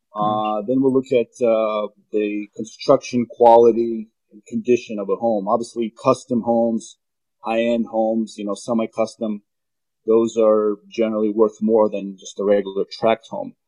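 At a moderate pace, a man speaks in a medium pitch with a dark, mellow tone and monotone, flat intonation, the sound dry and close with no echo. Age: 30s. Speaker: real estate appraiser. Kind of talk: interview.

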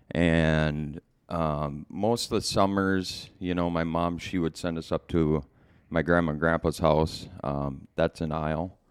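A man's very deep, low voice, fairly slow and fairly even in intonation, with an American accent, on a very clean recording with a silent background. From Minnesota, Twin Cities area. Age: 40s. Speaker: podcast guest sharing life story. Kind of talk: personal testimony in casual interview. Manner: hesitant, many fillers.

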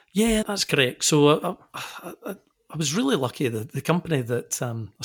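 Over a silent background in a very clean recording, a man with a Scottish accent speaks at a moderate pace in a fairly high, somewhat breathy voice with lively intonation. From Scotland, Glasgow. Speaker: engineering consultancy managing director. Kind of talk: interview.

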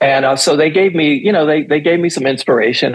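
An American accent from a man, his pitch varying in an ordinary way. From New York City (Manhattan). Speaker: dancer and choreographer. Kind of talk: interview.

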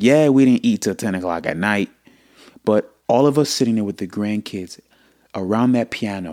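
On a very clean recording with a silent background, a man with a fairly low pitch speaks at a moderate pace in an animated tone with ordinary pitch variation. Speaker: podcast host. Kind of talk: casual chat. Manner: animated, talkative.

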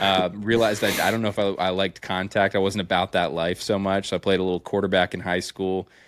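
In an American accent, a man with a very deep, low pitch speaks at a very fast pace with hardly any pauses. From central Pennsylvania. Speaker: high school football coach, podcast host. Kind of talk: casual chat. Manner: animated.

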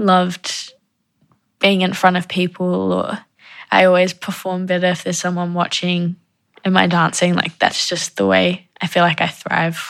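A woman with a New Zealand accent speaks at a moderate pace in a very clean recording with a silent background. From New Zealand, Wellington (moved from South Africa at 8). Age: 20s. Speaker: dance student. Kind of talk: personal interview testimony.

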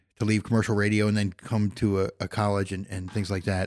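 A man talks in a plain, everyday voice at a fairly low pitch. His pace is fairly quick. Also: very clean recording, silent background. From Philadelphia. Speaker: college radio station manager and professor. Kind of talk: casual interview.

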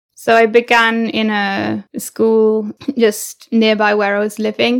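A woman speaks with an East Midlands accent. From England, Leicestershire. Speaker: English teacher. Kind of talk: interview.

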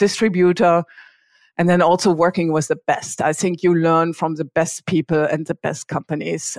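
A woman speaks with a German accent at a fairly low pitch and a moderate pace. The recording is very clean with a silent background, and the sound is dry and close with no echo. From Germany, small town. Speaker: payments company executive. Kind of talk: interview.

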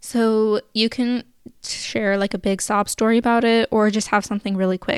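Speaking with a West Coast accent, a woman keeps a flat, monotone delivery at a fairly high pitch and a moderate pace. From Sacramento, California. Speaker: podcast host, former service volunteer. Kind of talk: solo podcast Q&A. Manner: casual, filler-heavy.

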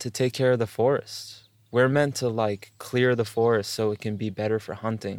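Recorded very cleanly against a silent background, a man talks in an unremarkable speaking voice at a medium pitch. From US East Coast, New York area. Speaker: organic farmer and music producer. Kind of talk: casual interview conversation.

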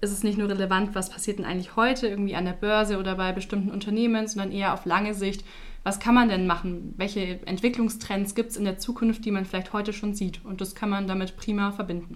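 With audible room echo, a woman talks very fast at a medium pitch in flat, monotone intonation. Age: 20s. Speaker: insurance product marketer. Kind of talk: podcast interview.

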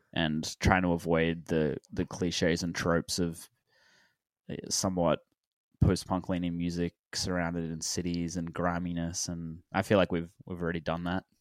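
A very deep, low male voice in a monotone, flat intonation at a moderate pace, on a very clean recording with a silent background. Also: dry, close sound with no echo. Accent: Australian. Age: 20s. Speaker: indie rock musician. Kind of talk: casual interview chat.

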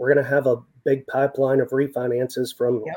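A man with a West Texas accent speaks at a fairly quick pace. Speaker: senior loan officer. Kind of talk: interview.

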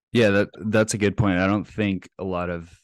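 This man talks at a fairly quick pace in an American accent, his intonation monotone and flat. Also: dry, close sound with no echo, quiet background. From Texas, Plano (North Dallas). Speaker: real estate investor. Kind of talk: interview.

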